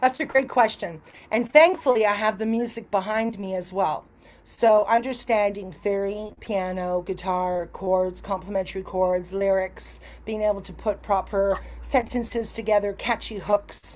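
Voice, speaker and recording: An unremarkable speaking voice from a woman, medium in pitch with ordinary pitch variation, at a moderate pace. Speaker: music artist manager. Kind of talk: podcast interview.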